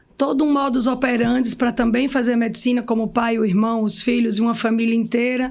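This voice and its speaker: A woman speaks with a fairly high pitch and very even loudness. Her intonation is monotone and flat. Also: hardly any pauses. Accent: strong sertão Pernambuco. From Pernambuco backlands, Brazil (Serra Talhada, Pajeú). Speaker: physiotherapist and clinic owner. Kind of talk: podcast interview.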